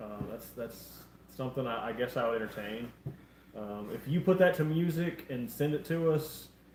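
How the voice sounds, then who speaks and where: A man speaks at a moderate pace in a medium pitch with lively intonation. Audible room echo surrounds the voice. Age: 20s. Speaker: live stream co-host. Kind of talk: casual chat.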